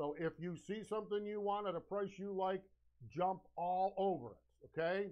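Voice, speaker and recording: A man is shouting, and his voice is loud. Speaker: live-stream sales show host. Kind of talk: live sales pitch. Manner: loud, shouting; energetic, animated.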